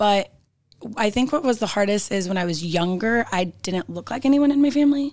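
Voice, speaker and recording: A woman talks at a fairly quick pace in an ordinary speaking voice with an American accent. Her pitch is fairly high and her intonation lively. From Northern California. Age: 30s. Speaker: cheerleading coach. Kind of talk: interview conversation. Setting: studio.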